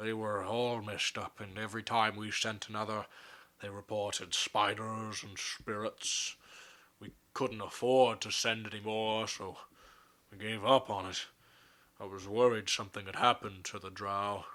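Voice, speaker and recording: A man's put-on character voice, fairly low in pitch, flat and monotone, at a moderate pace. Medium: actual play. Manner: slow, grave, formal.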